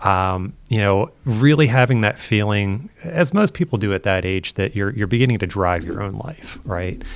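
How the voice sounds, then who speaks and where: Speaking in a normal speaking voice with an American accent, a man with a fairly low pitch moves at a moderate pace with lively intonation and hardly any pauses. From southeastern Pennsylvania, US. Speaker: education futurist. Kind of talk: interview.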